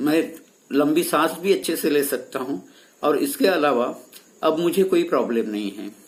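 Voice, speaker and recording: Vocal fry marks this man's fairly high voice, which swings very widely in pitch. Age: 70s. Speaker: patient giving testimonial, senior lecturer. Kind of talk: testimony. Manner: some hesitations.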